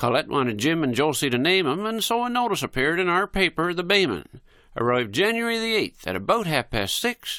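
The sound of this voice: What comes through is an unforced reading voice.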